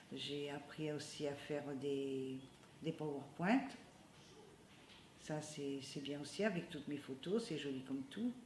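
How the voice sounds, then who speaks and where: A woman talks in a very deep, low pitch. Noticeable background noise and audible room echo surround her voice. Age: 70s. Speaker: community computer centre member. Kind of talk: interview testimony. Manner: hesitant, with many fillers.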